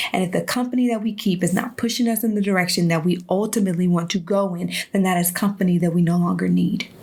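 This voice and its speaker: A woman speaks in a passionate tone. Her pitch is medium, with ordinary pitch variation. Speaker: online show host. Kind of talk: motivational talk. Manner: fast.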